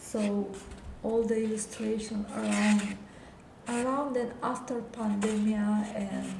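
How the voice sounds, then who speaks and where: Noticeable background noise sits behind speech delivered at a very slow pace. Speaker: illustrator and animator. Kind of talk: live stream art portfolio talk. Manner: halting, with repetitions.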